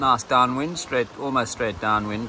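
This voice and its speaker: Noticeable background noise sits behind a man who speaks at a moderate pace with ordinary pitch variation. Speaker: sailor vlogger. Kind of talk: casual vlog chat. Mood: relaxed, mildly wry. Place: boat. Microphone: phone near.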